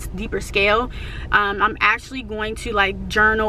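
With a dry sound that has no echo and light background noise, a woman speaks at a moderate pace. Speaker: vlogger. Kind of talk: casual vlog chat. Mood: reflective, earnest. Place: car. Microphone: phone near.

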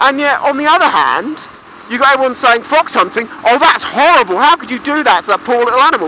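Someone speaks at a fairly quick pace with a British accent. The sound is dry with no echo, over light background noise. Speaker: motorcycle vlogger. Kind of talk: casual talk to camera. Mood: opinionated, ranting with swearing. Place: motorbike. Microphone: helmet.

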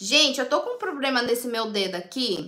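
Against a quiet background, a woman projects a raised voice with a bright, sharp tone and very wide pitch swings. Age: 30s. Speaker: beauty tips livestreamer. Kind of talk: live stream chat reading comments. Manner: chatty, informal. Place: home room. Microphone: phone near.

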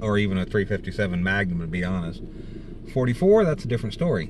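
Speaking at a fairly slow pace with very wide pitch swings, a man comes through noticeable background noise in a dry sound with no echo. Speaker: vlogger. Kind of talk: casual vlog chat. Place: car. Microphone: phone near.

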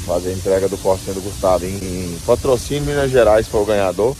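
Music plays in the background. A man talks at a fairly quick pace with lively intonation. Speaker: truck driver vlogger. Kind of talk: casual vlog chat. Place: workshop. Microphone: phone near.

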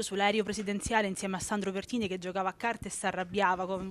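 A woman talks at a very fast pace and a medium pitch. The sound is dry with no echo, with light background noise. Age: 30s. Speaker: interviewer. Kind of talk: interview. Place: hall.

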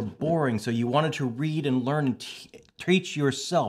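The speech moves at a fairly slow pace with lively intonation. The background is quiet. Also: man. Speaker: podcast host. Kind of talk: casual interview. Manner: high energy, excitable. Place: home room.

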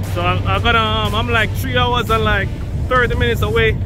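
A man speaks at a moderate pace. The sound is dry with no echo, and music plays in the background. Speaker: truck driver vlogger. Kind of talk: casual vlog chat. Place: street. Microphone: phone near.

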